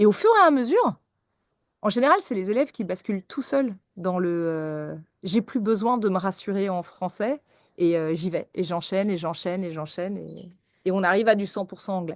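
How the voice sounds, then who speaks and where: A plain, everyday voice moves at a moderate pace with ordinary pitch variation. The recording is dry and close with no echo, against a quiet background. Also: woman. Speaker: English teacher. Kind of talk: podcast interview.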